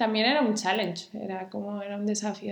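A woman of medium pitch is heard with audible room echo and noticeable background noise. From Spain, Cantabria (Santander). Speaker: designer. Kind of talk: interview. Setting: in the host's home.

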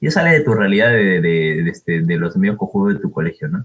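A man with a fairly low pitch talks at a fairly quick pace, his voice making very wide pitch swings. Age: 20s. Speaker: university student, podcast co-host. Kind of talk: casual chat.

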